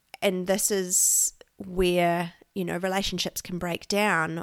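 A woman with a New Zealand accent speaks in a monotone, flat intonation. The recording is very clean, with a silent background. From New Zealand, South Island (Christchurch). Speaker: podcast host, Enneagram coach. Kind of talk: solo monologue, informal teaching. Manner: casual, filler-heavy.

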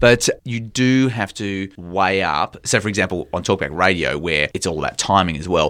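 With an Australian accent, a man speaks on a very clean recording against a silent background. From Country Victoria, Australia. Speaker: TV business reporter. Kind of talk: interview conversation.

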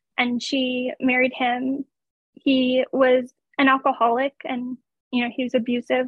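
Speaking with an American accent is a woman. Her voice is high-pitched. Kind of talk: testimony. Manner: matter-of-fact.

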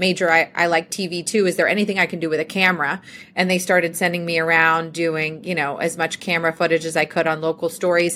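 A woman talks in a fairly low voice with a bright, sharp tone. Her intonation stays monotone and flat. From US South, Georgia. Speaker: TV legal correspondent. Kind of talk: interview.

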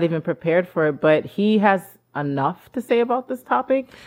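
A woman at a moderate pace. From Haiti. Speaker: podcast co-host. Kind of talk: casual chat.

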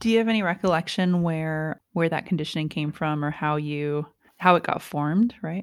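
In a normal speaking voice, a woman with a fairly low pitch talks at a moderate pace with ordinary pitch variation, recorded very cleanly against a silent background. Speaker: podcast host. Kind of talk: interview.

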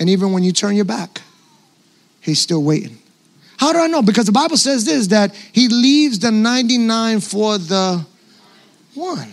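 A high-pitched man with a New York accent, lively intonation, a fairly slow pace and long, frequent pauses. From New York City. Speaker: pastor. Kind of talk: sermon.

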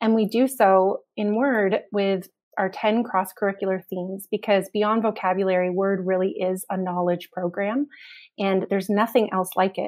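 An ordinary speaking voice, this woman talks at a medium pitch and a moderate pace with fairly even intonation. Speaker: webinar moderator. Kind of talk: moderating Q and A.

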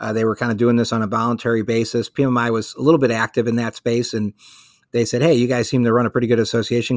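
A man with a Chicago accent talks at a very fast pace in a monotone, flat intonation. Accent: Chicago American. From Chicago, US. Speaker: trade association executive. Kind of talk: interview.

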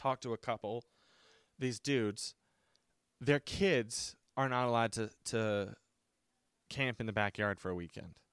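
This man has a medium pitch and an American accent, speaking at a moderate pace with an animated tone. The recording is very clean with a silent background, and the sound is dry and close with no echo. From West Virginia. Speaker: podcast host. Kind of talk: casual rant. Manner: animated, profane.

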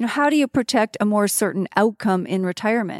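A woman with a normal speaking voice talks at a fairly high pitch and a fairly quick pace with lively intonation, in a dry, close sound with no echo on a very clean recording with a silent background. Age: 50s. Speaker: financial advisor. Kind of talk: casual chat. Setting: in person.

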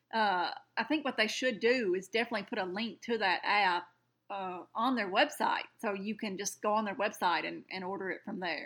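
A Southern US accent at a moderate pace, with ordinary pitch variation. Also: woman, medium pitch for a woman. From rural Alabama. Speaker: podcast co-host. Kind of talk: casual chat.

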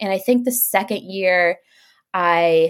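A woman with an American accent speaks in a plain, everyday voice at medium pitch with ordinary pitch variation, on a very clean recording with a silent background. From Dallas, Texas and Chicago. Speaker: blogger and small business founder. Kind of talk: casual interview.

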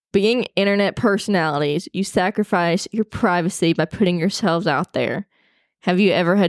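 Heard in a very clean recording with a silent background and a dry, close sound with no echo, a woman at a medium pitch talks at a moderate pace with ordinary pitch variation. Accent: Southern US. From Arkansas. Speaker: podcast host. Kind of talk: casual chat. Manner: animated.

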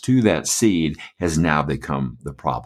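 With an American accent, a man speaks using lively intonation and vocal fry, recorded very cleanly against a silent background. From US Midwest (Michigan), born Atlanta. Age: 60s. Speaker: pastor and author. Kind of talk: interview.

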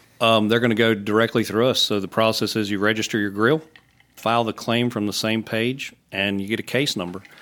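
Speaking with a Virginia accent, a man keeps fairly even intonation at a fairly quick pace. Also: medium pitch for a man. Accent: Southern US (Virginia). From Southwest Virginia, Roanoke. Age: 40s. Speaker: grill company sales manager. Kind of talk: casual chat. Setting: studio.

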